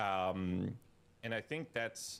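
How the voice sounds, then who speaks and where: A man with a Swedish accent speaks in fairly even intonation. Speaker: streamer. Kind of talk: casual commentary.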